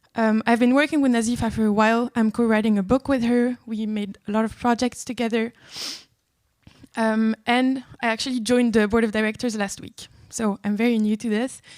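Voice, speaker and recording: A woman speaks at a fairly quick pace in a fairly high pitch, her intonation flat and monotone. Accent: French. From France. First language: French. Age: 20s. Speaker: law student, board member. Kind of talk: speech. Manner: hesitant, many fillers.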